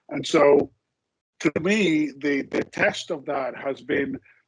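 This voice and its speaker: Speaking at a very slow pace with a Spanish accent, a man uses a fairly high pitch with ordinary variation. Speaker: insurance executive. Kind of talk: interview. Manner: hesitant, many repetitions and fillers.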